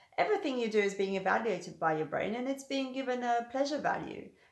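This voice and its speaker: Audible room echo surrounds a woman who speaks fairly quickly with a fairly high pitch and lively intonation. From Britain. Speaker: hypnotherapist. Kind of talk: educational talk to camera.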